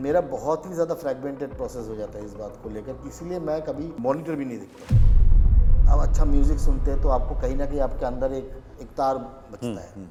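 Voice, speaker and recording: Music plays in the background as a man talks at a moderate pace, his loudness swinging widely. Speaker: actor. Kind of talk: interview answer.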